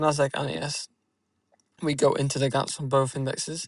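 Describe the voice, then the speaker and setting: A soft-spoken man with a fairly high pitch talks in a flat, monotone way. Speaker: day trader. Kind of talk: tutorial. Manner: halting.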